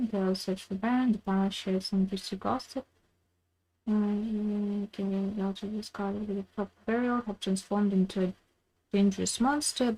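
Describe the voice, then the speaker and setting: Quiet and somewhat breathy, a woman talks at a moderate pace in a dark, mellow tone, her medium pitch fairly even in intonation. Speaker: game streamer. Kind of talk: live gaming stream. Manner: halting.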